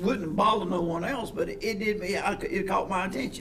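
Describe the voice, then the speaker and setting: Amid noticeable background noise and audible room echo, a man with an American accent talks at a moderate pace and a high pitch. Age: 60s. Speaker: sheriff's deputy, shooting survivor. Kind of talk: casual interview.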